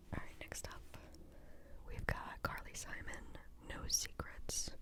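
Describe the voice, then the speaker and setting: A woman is whispering at a very slow pace. Noticeable background noise sits behind her. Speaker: podcast host, music reviewer. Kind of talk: casual talk to camera. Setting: home recording. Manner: relaxed, chatty.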